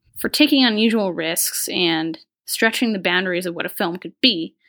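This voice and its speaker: This woman has an unremarkable speaking voice, medium in pitch, with ordinary pitch variation and a moderate pace. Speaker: website editor, podcast co-host. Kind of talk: casual chat.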